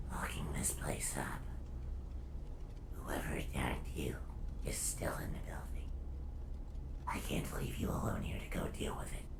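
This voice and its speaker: Someone whispers in a put-on character voice at a moderate pace. Loud background noise fills the recording. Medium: game stream. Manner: quiet, earnest.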